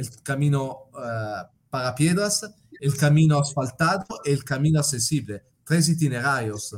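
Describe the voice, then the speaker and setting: Somewhat breathy speech in an Italian accent comes at a fairly slow pace with ordinary pitch variation. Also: man, fairly high pitch for a man. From Italy. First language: Italian (speaking Spanish). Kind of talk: interview. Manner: halting.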